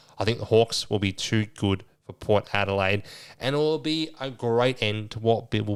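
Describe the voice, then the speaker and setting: Mumbling with an Australian accent, a man is heard on a very clean recording with a silent background. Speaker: sports podcast host. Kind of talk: casual solo podcast. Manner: low energy, mumbling.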